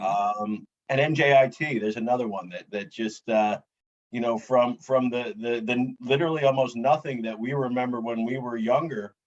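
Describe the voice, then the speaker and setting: Here a man has an ordinary speaking voice. He talks at a moderate pace. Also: medium pitch for a man, ordinary pitch variation. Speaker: podcast host. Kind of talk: casual podcast interview questions.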